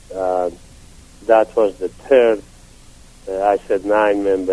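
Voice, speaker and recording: Speaking with a Persian accent, a man uses a very deep, low pitch, a monotone, flat intonation and a fairly slow pace. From Iran, Yazd. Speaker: retired physician. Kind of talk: interview. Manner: halting.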